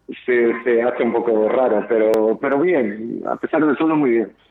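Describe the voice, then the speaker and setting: With music in the background, a man of medium pitch talks at a moderate pace. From Portugal. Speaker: tribute band musician. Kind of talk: radio interview.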